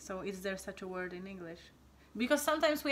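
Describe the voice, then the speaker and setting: This speaker talks at a very fast pace in a Polish accent. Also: woman. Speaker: channel host. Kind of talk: casual chat. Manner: animated.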